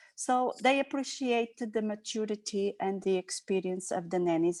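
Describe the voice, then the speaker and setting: A woman with a non-native accent speaks at a moderate pace with hardly any pauses, her fairly high voice showing ordinary pitch variation. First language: Portuguese. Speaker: nanny. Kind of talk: video call group discussion. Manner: halting.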